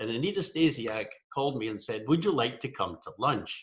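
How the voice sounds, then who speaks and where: A man talks with a strong Scottish accent. His pace is fairly quick and his intonation lively. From Scotland. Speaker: rotary coordinator, speaker. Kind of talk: humorous talk. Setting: virtual meeting.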